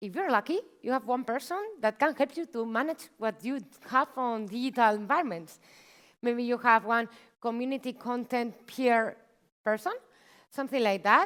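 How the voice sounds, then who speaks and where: A woman with a Spanish accent speaks at a high pitch and a moderate pace, with ordinary pitch variation. She leaves long, frequent pauses, and the recording is very clean with a silent background. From Spain (Barcelona). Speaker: marketing manager, workshop speaker. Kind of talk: conference talk. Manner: animated.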